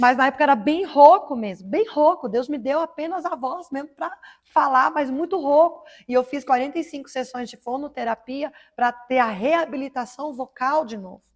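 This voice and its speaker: Pitch varies in an ordinary way at a moderate pace. The recording is very clean, with a silent background. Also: woman. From Paraná, Brazil. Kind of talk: testimony. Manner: emotional.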